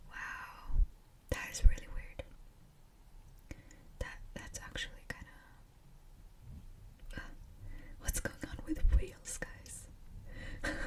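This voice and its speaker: Over noticeable background noise, someone is whispering at a very slow pace, with long, frequent pauses. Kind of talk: ASMR scary story reading from Reddit. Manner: whispered.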